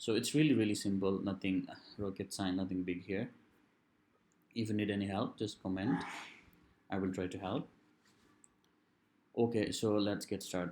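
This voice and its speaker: A man with a non-native accent speaks at a moderate pace and a fairly low pitch. His intonation is fairly even, broken by long, frequent pauses. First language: non-native English speaker. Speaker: software developer / tutorial creator. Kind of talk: coding tutorial.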